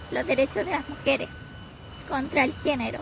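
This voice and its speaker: A woman speaks at high pitch in a Chilean accent. Noticeable background noise runs underneath. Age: 30s. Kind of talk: personal testimony.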